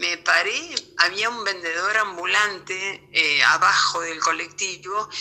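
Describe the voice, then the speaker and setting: A woman speaks with ordinary pitch variation amid noticeable background noise. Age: 60s. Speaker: interviewee sharing health experience. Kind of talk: testimony. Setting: remote interview via voice messages.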